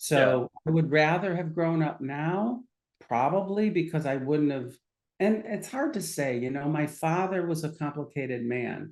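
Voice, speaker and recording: A man's ordinary speaking voice at a fairly high pitch, fairly slow pace and ordinary pitch variation. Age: 60s. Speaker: psychiatrist. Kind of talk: casual chat.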